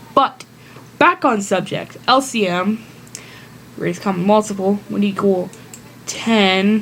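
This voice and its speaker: A woman's medium-pitched voice at a fairly slow pace, with ordinary pitch variation, long and frequent pauses, and noticeable background noise. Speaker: math tutorial maker. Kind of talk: tutorial. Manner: casual, self-correcting.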